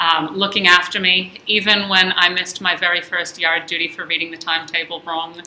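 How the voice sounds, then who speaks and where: The speech moves at a fairly quick pace with hardly any pauses and monotone, flat intonation, over noticeable background noise. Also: woman, fairly low pitch for a woman. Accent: American. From Israel-born, American parents. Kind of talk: casual chat. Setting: studio.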